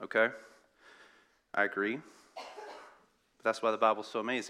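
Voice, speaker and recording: A man in a Southern US accent, medium in pitch, bright and sharp in tone, at a fairly slow pace. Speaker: pastoral intern. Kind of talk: sermon. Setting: church.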